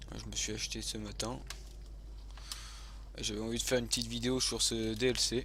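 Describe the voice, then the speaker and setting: A man at a fairly quick pace, with long, frequent pauses and audible room echo. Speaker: gaming youtuber. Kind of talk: gameplay commentary. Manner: hesitant, many fillers.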